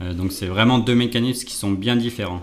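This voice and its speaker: This man's intonation stays fairly even while he talks very fast. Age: 30s. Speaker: chemical engineer and hyaluronic acid industry consultant. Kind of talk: expert interview. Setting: on location in the guest's offices. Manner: hesitant, with frequent fillers and repetitions.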